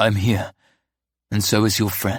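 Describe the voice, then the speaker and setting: On a very clean recording with a silent background, a man uses a raspy, put-on character voice pitched fairly low. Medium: read story. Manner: soft.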